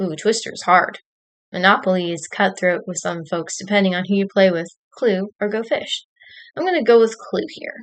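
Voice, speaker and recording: This voice moves at a moderate pace with ordinary pitch variation and big swings in loudness. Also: woman, medium pitch for a woman. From Texas. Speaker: streamer. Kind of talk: casual live stream chat, reading quiz questions. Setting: home live stream at computer with camera.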